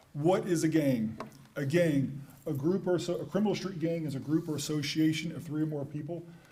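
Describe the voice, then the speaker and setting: A man with a fairly high pitch and fairly even intonation talks at a fairly quick pace, with audible echo in the room. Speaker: police sergeant. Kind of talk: presentation. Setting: meeting with interpreters. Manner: fast.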